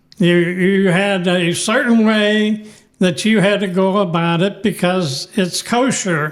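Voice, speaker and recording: Against noticeable background noise, a high-pitched man with an American accent talks very slowly at a very even loudness. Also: fairly even intonation. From Pittsburgh, Pennsylvania. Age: 90s. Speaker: elderly local resident. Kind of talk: interview. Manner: halting.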